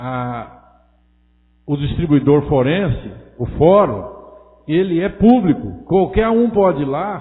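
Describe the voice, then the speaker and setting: Speaking at a very slow pace with long, frequent pauses, a man uses a fairly high pitch and very wide pitch swings amid audible room echo. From Brazil, interior of São Paulo state. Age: 60s. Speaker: city councilman. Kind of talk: council session speech. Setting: city council chamber. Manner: hesitant, with frequent fillers.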